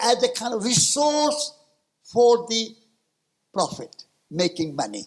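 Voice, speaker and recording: At a fairly slow pace, a man with an extremely high pitch talks with lively intonation. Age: 80s. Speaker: peace activist and author. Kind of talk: conference talk.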